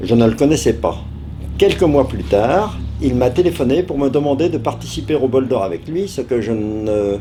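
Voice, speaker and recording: Very wide swings in pitch from a male speaker, with noticeable noise in the background. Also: medium pitch for a man, moderate pace. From France, Paris area (Aubervilliers). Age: 70s. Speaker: retired motorcycle racer. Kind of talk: interview. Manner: hesitant, many filler sounds.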